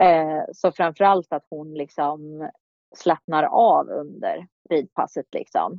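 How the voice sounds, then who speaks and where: Speaking at a very slow pace, a woman's voice swings widely in loudness. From Sweden, Kumla near Örebro. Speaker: show jumping rider. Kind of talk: casual interview. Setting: remote call.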